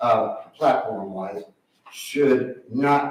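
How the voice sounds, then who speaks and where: Audible room echo hangs around this voice. It belongs to a man with an American accent. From Indiana (Indianapolis). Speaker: political candidate. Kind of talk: public hearing testimony. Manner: halting, repetitive.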